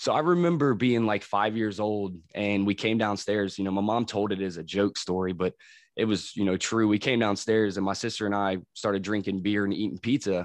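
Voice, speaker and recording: Against a quiet background, a man with an unremarkable speaking voice talks at a fairly low pitch and a fairly quick pace, with ordinary pitch variation and hardly any pauses. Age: 30s. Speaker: crane operator in recovery. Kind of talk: casual interview, personal testimony.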